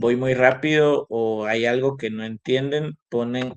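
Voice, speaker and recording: Recorded with a dry, close sound with no echo, a man talks at a medium pitch with ordinary pitch variation. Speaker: university lecturer. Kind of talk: online lecture. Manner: animated.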